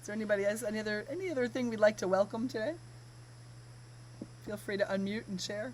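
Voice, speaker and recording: Very fast yet broken by long, frequent pauses, a woman with an American accent talks in a fairly high, somewhat breathy voice. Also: lively intonation. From United States. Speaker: workshop facilitator. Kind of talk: webinar.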